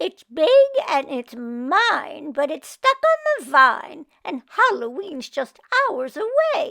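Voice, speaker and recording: In a put-on character voice, a woman speaks at a very slow pace and an extremely high pitch, swinging very widely in pitch. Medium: read story. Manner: grumpy, huffy.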